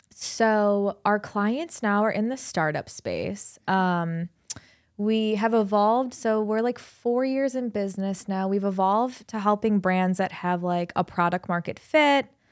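A woman's unremarkable speaking voice in an American accent, medium in pitch with ordinary pitch variation, fairly slow, on a very clean recording with a silent background. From Cleveland, Ohio, US Midwest. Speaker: digital marketing agency owner. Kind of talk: casual interview. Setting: studio.

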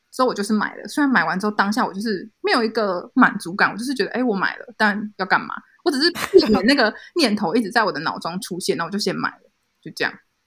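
Recorded very cleanly with a silent background, a woman with a Taiwanese accent talks at a very fast pace in a fairly high voice, with lively intonation and big swings in loudness. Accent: Taiwanese Mandarin. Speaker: illustrator. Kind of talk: casual chat.

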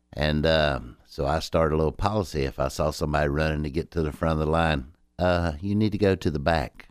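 The speaker talks at a fairly quick pace with hardly any pauses, ordinary pitch variation and vocal fry, on a very clean recording with a silent background. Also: man, very deep, low pitch for a man. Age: 60s. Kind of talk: casual chat.

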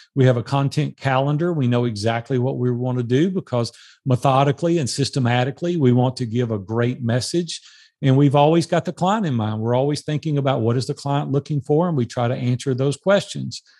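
A man with an American accent speaks fairly quickly at a medium pitch, his tone dark and mellow with ordinary pitch variation. The sound is dry and close with no echo, against a quiet background. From US South, Nashville, Tennessee. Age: 60s. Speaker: life and business coach. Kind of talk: interview.

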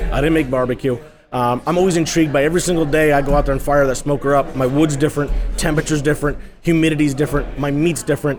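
Over noticeable background noise, a man with an American accent talks very fast in a flat monotone at a fairly high pitch. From Hudson Valley, New York. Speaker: barbecue pitmaster. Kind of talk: interview. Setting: live outdoor food event.

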